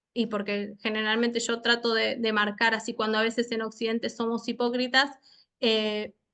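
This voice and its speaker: The voice has a bright, sharp tone and a monotone, flat intonation. It moves at a moderate pace against a quiet background. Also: woman, fairly high pitch for a woman. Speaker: lecturer on international criminal law. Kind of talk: online seminar lecture. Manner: halting, many fillers and repetitions.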